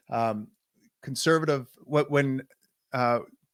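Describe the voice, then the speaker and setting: Captured in a very clean recording with a silent background, a man with a Canadian accent speaks at a medium pitch with fairly even intonation. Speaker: podcast host. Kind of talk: interview.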